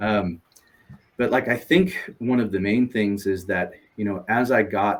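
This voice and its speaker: At a fairly slow pace, a man with an American accent talks in a fairly low pitch with ordinary pitch variation. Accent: sounds American. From Europe. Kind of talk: interview. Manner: halting, many fillers and repeats.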